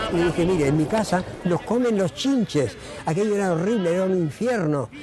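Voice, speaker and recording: A man talks at a fairly quick clip in a high voice, his intonation lively and his loudness very even, with music playing behind him. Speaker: interviewee. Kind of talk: testimony.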